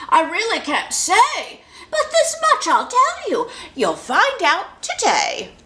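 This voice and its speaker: A put-on character voice at an extremely high pitch swings very widely in pitch at a fairly slow pace. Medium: read story.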